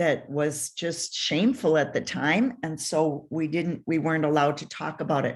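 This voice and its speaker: In a very clean recording with a silent background, a woman with a fairly low voice speaks in an Upper Midwest accent. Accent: Upper Midwest American. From Minnesota, US. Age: 70s. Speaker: author and family historian. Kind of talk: radio interview. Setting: radio show.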